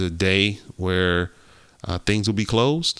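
A man talks at a moderate pace with a bright, sharp tone and a fairly low pitch with ordinary variation. The recording is very clean, with a silent background. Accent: American. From US Midwest, Ohio. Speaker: podcast co-host. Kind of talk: casual chat.

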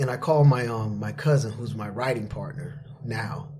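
With an American accent, a man speaks at a moderate pace and ordinary pitch variation, with audible room echo and noticeable background noise. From Florida. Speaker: personal trainer and TV creator. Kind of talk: casual interview storytelling.

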